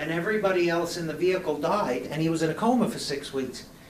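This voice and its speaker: A man with a New York accent talks at a moderate pace amid audible room echo. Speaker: presenter on youth substance prevention. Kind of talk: presentation. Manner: animated.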